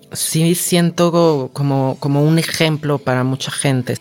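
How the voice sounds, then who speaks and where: With a Mexican accent, a woman speaks in a very deep, low pitch. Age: 40s. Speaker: cancer survivor. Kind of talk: interview. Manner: animated.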